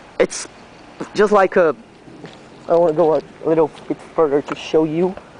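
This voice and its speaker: The speaker has a Brazilian accent, heard over noticeable background noise. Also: moderate pace. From Brazil, Santa Catarina. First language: Portuguese. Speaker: railway enthusiast vlogger. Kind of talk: walkthrough video narration. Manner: halting, hesitant.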